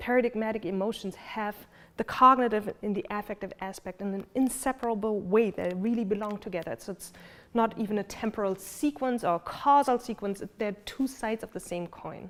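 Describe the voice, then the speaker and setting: Speaking with a German accent at a fairly quick pace, a woman has a fairly high pitch, ordinary pitch variation and big swings in loudness. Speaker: philosophy lecturer. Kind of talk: lecture. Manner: hesitant with many fillers.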